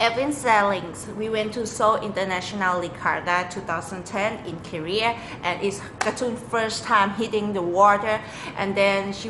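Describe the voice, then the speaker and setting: A woman's fairly high voice in a Thai accent at a fairly slow pace, with audible room echo and noticeable background noise. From Thailand. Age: 20s. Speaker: lecturer and sailor. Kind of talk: audition video. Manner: animated.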